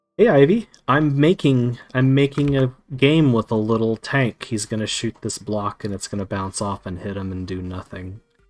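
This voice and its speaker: Moving at a moderate pace with hardly any pauses, a man speaks at medium pitch with ordinary pitch variation and big swings in loudness. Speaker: game developer streamer. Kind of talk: live stream coding commentary. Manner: excitable.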